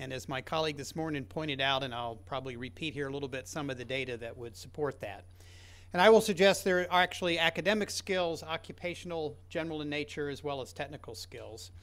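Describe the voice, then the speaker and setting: Speaking at a very fast pace, a man uses lively intonation with a fairly high pitch and vocal fry. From Kentucky, US. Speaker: education researcher. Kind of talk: conference talk. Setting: conference session with audience.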